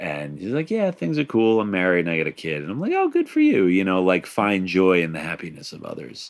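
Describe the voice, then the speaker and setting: Talking at a fairly quick pace with hardly any pauses, a man speaks with an American accent. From Long Island, New York. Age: 30s. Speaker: podcast host. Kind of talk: casual chat.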